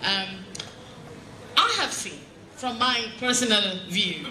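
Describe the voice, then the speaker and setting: A woman speaks at a fairly slow pace. Noticeable background noise and audible room echo fill the recording. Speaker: judge. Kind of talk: symposium speech. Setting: stage with audience.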